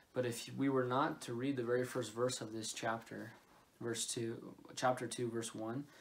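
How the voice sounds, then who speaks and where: This man talks at a fairly slow pace with fairly even intonation. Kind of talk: sermon. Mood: earnest, calm. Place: home room. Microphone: phone near.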